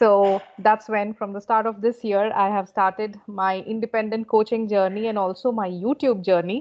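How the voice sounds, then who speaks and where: Speaking with an Indian accent, a woman with a fairly high pitch keeps a moderate pace and a monotone, flat intonation, with hardly any pauses. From India, Kolkata. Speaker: communication coach. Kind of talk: casual interview conversation. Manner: fluent, warm.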